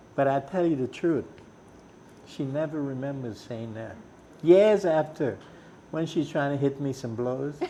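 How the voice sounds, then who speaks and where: Speaking in a Trinidadian accent with a fairly high pitch and ordinary pitch variation, a man talks at a fairly slow pace with long, frequent pauses over noticeable background noise. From Trinidad, Cunupia. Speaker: musician. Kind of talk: interview storytelling. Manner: animated.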